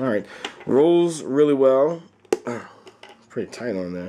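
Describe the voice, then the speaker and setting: A man speaks at a moderate pace with lively intonation. Noticeable background noise runs under his voice. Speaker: toy reviewer. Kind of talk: product review. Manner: casual, halting.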